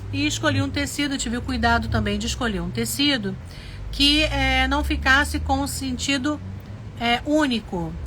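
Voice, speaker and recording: Noticeable background noise and audible room echo surround a woman talking at a fairly slow pace. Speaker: sewing teacher, craft studio owner. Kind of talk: live sewing tutorial.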